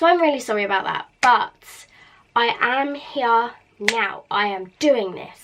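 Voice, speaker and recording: In a British accent, a woman speaks in an animated tone with very wide pitch swings. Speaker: beauty vlogger. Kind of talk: casual vlog chat. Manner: chatty, animated.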